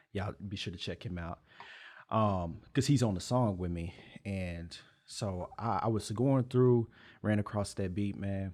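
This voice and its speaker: A man with an American accent and a fairly low pitch talks at a fairly slow pace with ordinary pitch variation. The recording is very clean, with a silent background. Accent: speaks proper, elegant. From Texas. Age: 20s. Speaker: rapper. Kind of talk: interview. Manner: laid back.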